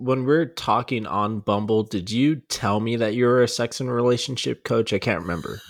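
An unremarkable speaking voice. The pace is moderate. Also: man. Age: 20s. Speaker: podcast co-host. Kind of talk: casual chat.

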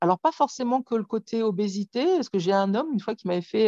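In a quiet background, a woman talks at a fairly quick pace. Her pitch is medium, with ordinary variation. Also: dry, close sound with no echo. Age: 40s. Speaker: author of a memoir on weight and trauma. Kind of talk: interview.

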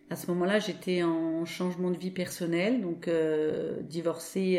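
A woman speaks with a fairly low pitch. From Paris, France. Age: 50s. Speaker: association founder. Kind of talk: interview testimony. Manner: hesitant, many fillers.

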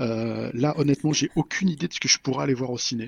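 At a fairly quick pace, a man talks in a plain, everyday voice at medium pitch with ordinary pitch variation. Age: 40s. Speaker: software developer and podcaster. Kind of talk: casual chat. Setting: evening recording.

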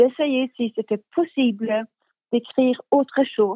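A woman speaks at a very slow pace. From Sweden, Stockholm. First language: Swedish (speaking French). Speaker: crime novelist. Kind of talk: interview. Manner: halting.

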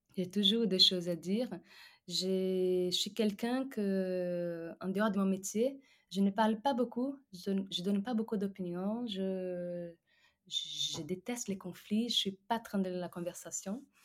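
Speaking very slowly with a Portuguese accent, a woman uses a medium pitch and ordinary pitch variation. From Brazil. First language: Portuguese (speaking French). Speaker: singer-songwriter. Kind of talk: interview. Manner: halting.

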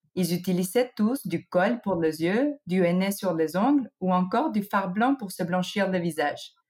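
At a fairly slow pace with hardly any pauses, a woman with a non-native accent speaks at a medium pitch, somewhat breathy, with lively intonation. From United States (born in Mexico). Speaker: trend researcher. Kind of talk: scripted segment. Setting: recording at home.

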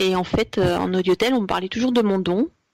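This woman speaks at medium pitch. Her intonation stays fairly even. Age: 40s. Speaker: psychic medium. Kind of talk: interview. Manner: halting.

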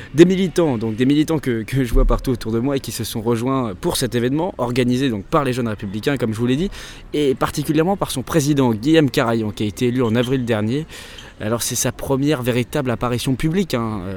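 Speaking with a normal speaking voice, a man talks at medium pitch. His delivery is fairly quick, and his pitch varies in an ordinary way. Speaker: podcast host and political journalist. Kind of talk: on-location reporting. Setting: outdoors at a political rally.

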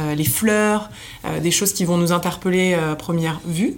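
There is noticeable background noise. Over it, a woman speaks at a fairly slow pace and a fairly low pitch. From southern France, Nice. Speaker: hotel marketing director. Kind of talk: interview conversation.

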